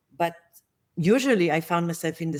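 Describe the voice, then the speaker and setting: A woman with an Israeli accent and a fairly low pitch is heard on a very clean recording with a silent background. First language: Hebrew. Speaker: managerial therapist, guest. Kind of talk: interview conversation.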